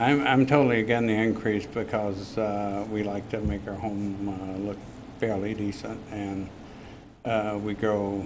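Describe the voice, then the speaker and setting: At a fairly slow pace, a man speaks with a fairly low pitch and monotone, flat intonation. Room echo is audible. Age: 70s. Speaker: resident speaking at public hearing. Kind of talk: public testimony. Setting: city council meeting. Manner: halting.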